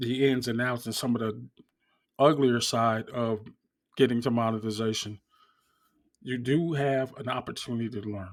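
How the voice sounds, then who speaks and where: Speaking at a moderate pace with long, frequent pauses, a man with an American accent uses a medium pitch and fairly even intonation. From US Northeast. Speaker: YouTuber. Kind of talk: casual talk to camera.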